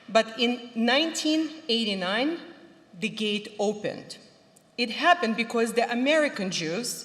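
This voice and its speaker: Amid noticeable background noise and audible room echo, a woman speaks at a moderate pace with a fairly high pitch and lively intonation. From Ukraine (former Soviet Union). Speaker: cantor, panel moderator. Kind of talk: prepared opening remarks at a conference.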